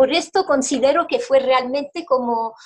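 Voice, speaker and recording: Speaking with a French accent, a woman uses a high pitch and lively intonation. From Belgium. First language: French (speaking Spanish). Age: 40s. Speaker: interviewee sharing health testimony. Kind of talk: testimony. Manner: halting, with repetitions.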